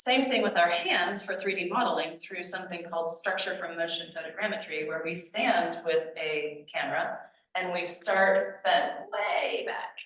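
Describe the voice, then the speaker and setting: At a fairly slow pace, a woman speaks with fairly even intonation amid audible room echo. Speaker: archaeology nonprofit leader giving a talk. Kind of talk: lecture. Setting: society meeting with audience. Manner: halting with fillers.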